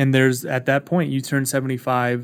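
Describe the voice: A man speaks at a medium pitch with a clear, smooth tone. His pitch moves little, and his pace is moderate.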